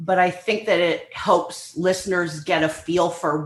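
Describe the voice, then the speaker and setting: Using a plain, everyday voice, a woman talks at a fairly slow pace with fairly even intonation. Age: 60s. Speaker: professor. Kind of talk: interview.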